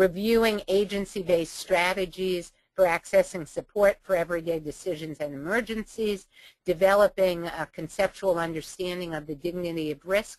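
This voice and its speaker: A woman's medium-pitched voice in an American accent, with fairly even intonation, big swings in loudness, and a moderate pace. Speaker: webinar presenter, trainer. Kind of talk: webinar training presentation. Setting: webinar. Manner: frequent fillers (um, uh).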